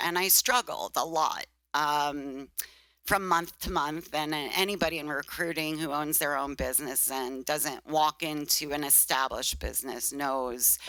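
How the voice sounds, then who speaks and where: A woman's very deep, low-pitched voice with a bright, sharp tone and a Brooklyn accent, at a moderate pace on a very clean recording with a silent background. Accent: Brooklyn accent, still noticeable. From Brooklyn, New York. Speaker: recruitment business owner. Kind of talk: interview. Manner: hesitant, many fillers.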